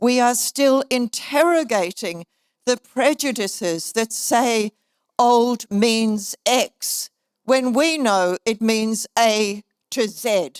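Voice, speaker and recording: A woman with a New Zealand accent speaks at a very slow pace with a fairly high pitch and ordinary pitch variation. Her loudness stays very even, in a dry, close sound with no echo. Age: 70s. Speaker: keynote speaker, author and minister. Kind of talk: keynote speech. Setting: conference stage with audience.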